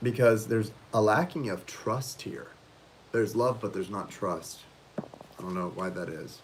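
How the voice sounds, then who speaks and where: A man speaks at a moderate pace with a fairly low pitch and ordinary pitch variation. Noticeable background noise is present. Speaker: tarot reader. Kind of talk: live stream tarot reading. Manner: hesitant, many fillers.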